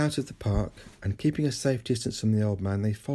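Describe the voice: Just plain reading aloud.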